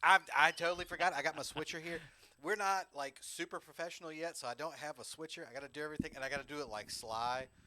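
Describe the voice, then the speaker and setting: A man with a Southern US accent speaks very fast in a bright, sharp tone, fairly high in pitch with ordinary variation. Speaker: podcast host, drummer. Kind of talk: casual chat.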